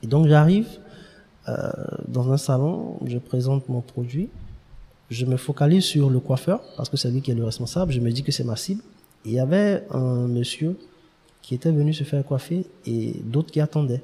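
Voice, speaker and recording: A man's dark, mellow, somewhat breathy voice with long, frequent pauses. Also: medium pitch for a man, ordinary pitch variation, moderate pace. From Ivory Coast, Abidjan. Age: young. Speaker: start-up founder. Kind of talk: interview.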